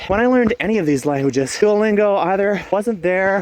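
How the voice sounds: With a slightly mellow tone, a man speaks using lively intonation.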